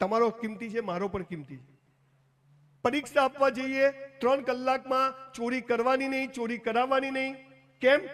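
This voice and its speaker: This man's voice sits at an extremely high pitch. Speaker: motivational speaker. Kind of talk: motivational speech to a live audience. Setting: live event venue. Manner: lively, humorous, conversational.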